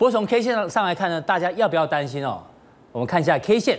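A man with a Taiwanese accent speaks at a high pitch. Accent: Taiwanese Mandarin. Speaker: TV finance show host. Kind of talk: TV talk show hosting. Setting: TV studio.

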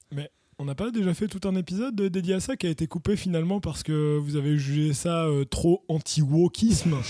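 In a dry, close sound with no echo, a man with a high pitch and a dark, mellow tone speaks at a moderate pace. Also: ordinary pitch variation. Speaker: podcast co-host. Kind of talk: casual chat.

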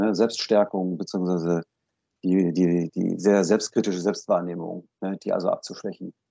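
In a dry, close sound with no echo, a man with a very deep, low pitch and a dark, mellow tone speaks at a moderate pace in a monotone, flat intonation. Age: 50s. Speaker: psychotherapist. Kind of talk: interview.

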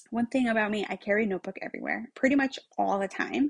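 Against a quiet background, a woman speaks in a normal speaking voice at medium pitch. Her pitch variation is ordinary, and the sound is dry and close with no echo. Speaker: podcast host, retail executive. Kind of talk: casual monologue. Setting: home room.

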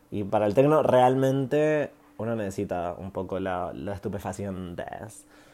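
In a dark, mellow tone, a man speaks at a fairly slow pace with a fairly low pitch, lively intonation and big swings in loudness. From Chile, Santiago. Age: 20s. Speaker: podcast host, musician. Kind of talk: casual monologue, storytelling.

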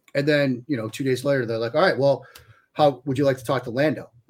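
A man's somewhat breathy, medium-pitched voice. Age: 40s. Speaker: sports writer and analyst. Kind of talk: casual podcast chat.

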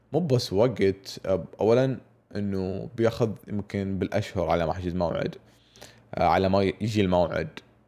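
This man's voice is fairly low in pitch, with a dark, mellow tone. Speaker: podcast host. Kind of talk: casual monologue.

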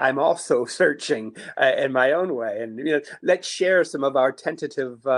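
Here a man has a normal speaking voice, a medium pitch and ordinary pitch variation, talking at a fairly slow pace with an American accent. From US, Niagara Falls, New York. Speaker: priest and university chaplain. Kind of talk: interview, reflective conversation. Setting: remote, working from home.

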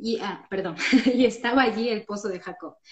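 Somewhat breathy and fairly high-pitched, a woman talks at a moderate pace with ordinary pitch variation. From Ecuador, Loja. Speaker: church member, friend of host. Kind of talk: casual Bible study chat. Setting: Instagram live.

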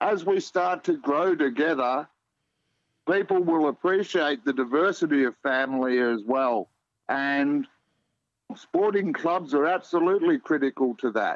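Speaking with an Australian accent, a man with a fairly high pitch uses lively intonation at a fairly slow pace, his loudness very even and the sound dry and close with no echo. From Australia, Melbourne. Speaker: community sport organiser and podcaster. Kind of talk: radio interview.

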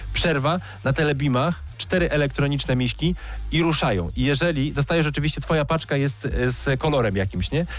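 With music in the background, a man at a fairly high pitch talks at a fairly quick pace, his loudness very even and his pitch variation ordinary. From Poland, Zielona Góra. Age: 30s. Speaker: radio host and speedway commentator. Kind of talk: casual radio interview. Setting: radio studio.

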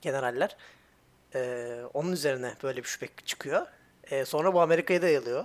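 At a fairly quick pace, a plain, everyday voice speaks with ordinary pitch variation. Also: man, fairly high pitch for a man. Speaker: podcast co-host. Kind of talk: casual chat.

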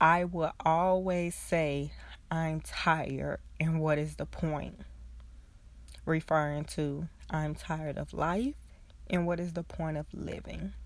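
Delivery is very slow, broken by long, frequent pauses. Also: woman. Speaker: podcast host, social worker. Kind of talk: personal monologue. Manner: conversational, frequent laughs.

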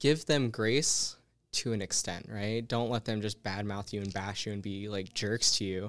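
A man with an American accent speaks at a moderate pace in an ordinary speaking voice, fairly low in pitch. His intonation is fairly even, and the recording is very clean with a silent background. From Utah. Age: 20s. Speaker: Air Force airman. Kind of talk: casual interview.

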